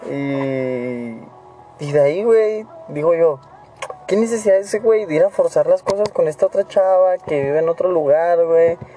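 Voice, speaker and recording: With noticeable background noise behind him, a man talks at a fairly slow pace in a high-pitched voice with lively intonation. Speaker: podcaster. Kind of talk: casual chat.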